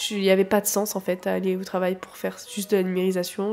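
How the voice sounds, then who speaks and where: Music plays in the background. The speech has monotone, flat intonation. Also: woman. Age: 20s. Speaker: photographer. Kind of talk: personal testimony. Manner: halting.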